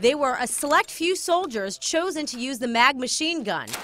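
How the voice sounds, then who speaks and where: The voice is raised and projected, with lively intonation. It moves at a moderate pace over noticeable background noise. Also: woman. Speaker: reporter. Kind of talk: TV news report narration.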